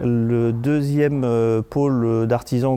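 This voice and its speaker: A man's medium-pitched voice, fairly even in intonation, with a dark, mellow tone. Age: 50s. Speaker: company director. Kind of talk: interview. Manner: halting, many hesitations.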